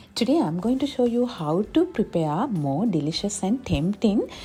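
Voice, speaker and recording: A woman with a Sri Lankan accent speaks at a medium pitch in a dark, mellow, somewhat breathy tone, with very wide pitch swings. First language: Sinhala. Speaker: gardening and cooking vlogger. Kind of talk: scripted narration.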